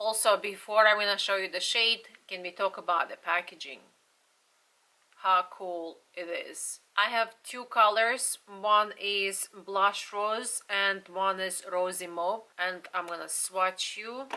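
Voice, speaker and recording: The tone is bright and sharp, with fairly even intonation and a very slow pace. Loudness swings widely throughout. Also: woman, medium pitch for a woman. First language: not English. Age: 40s. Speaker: beauty vlogger. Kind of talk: product review.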